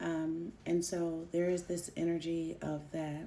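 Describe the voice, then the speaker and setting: A woman speaks at a very slow pace with a fairly low pitch and a dark, mellow tone. Audible room echo surrounds her voice. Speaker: energy reader and astrologer. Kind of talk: casual astrology talk to camera. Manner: soft-spoken.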